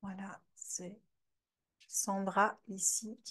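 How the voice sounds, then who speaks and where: Speaking at a very slow pace, a woman talks with a slight Belgian accent. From Belgium, Namur region. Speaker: trainer presenting her method. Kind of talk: live online masterclass.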